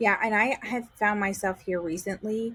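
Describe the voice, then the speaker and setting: Speaking at a fairly slow pace with ordinary pitch variation, a woman talks in a New York accent. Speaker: real estate agent. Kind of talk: casual chat.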